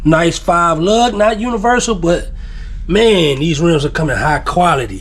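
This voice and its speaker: A man with a Texas accent speaks in a high voice with lively intonation, with audible room echo and noticeable background noise. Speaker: YouTuber. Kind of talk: product unboxing video. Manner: casual, laid-back.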